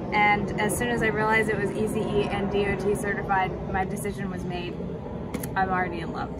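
A woman keeps a moderate pace while loud background noise plays around her. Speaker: motorcycle rider reviewing helmet. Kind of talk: casual vlog chat. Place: street.

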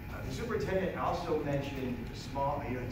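Against loud background noise and audible room echo, a man talks with ordinary pitch variation. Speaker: speaker. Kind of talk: public talk. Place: meeting room. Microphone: camera far.

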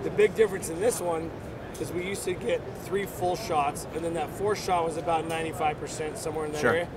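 Loud background noise behind a man's fairly quick speech. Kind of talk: interview answer. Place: hall.

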